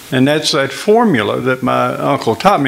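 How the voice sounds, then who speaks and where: Noticeable background noise sits behind a man speaking at a medium pitch in an Appalachian accent. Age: 80s+. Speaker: miller. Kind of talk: interview.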